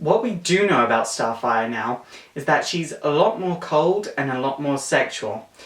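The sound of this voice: Fairly slow and lively in intonation, a man's medium-pitched voice carries a fairly bright tone with audible room echo.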